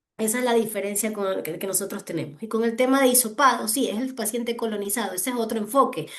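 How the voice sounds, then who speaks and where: Her pitch sits fairly high. This woman talks at a fairly quick clip. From Ecuador. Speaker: hospital physician presenting a clinical case. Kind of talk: case discussion in online medical session.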